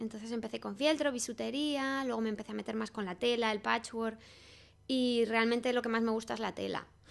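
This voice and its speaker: At a fairly quick pace, a woman with a fairly high pitch and fairly even intonation speaks in a normal speaking voice. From Spain, Salamanca. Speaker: craft designer and shop owner. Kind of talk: interview. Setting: in a shop with customers.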